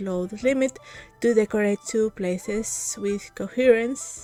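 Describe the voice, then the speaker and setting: Music plays in the background as a woman speaks with a non-native accent. Her pace is very slow, with ordinary pitch variation. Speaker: game content creator. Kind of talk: video intro to camera. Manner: upbeat.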